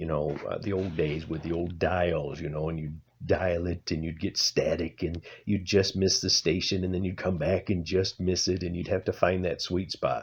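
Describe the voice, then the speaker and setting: A man's very deep, low voice, somewhat breathy, at a moderate pace. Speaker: amateur singer. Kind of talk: tutorial. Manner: halting.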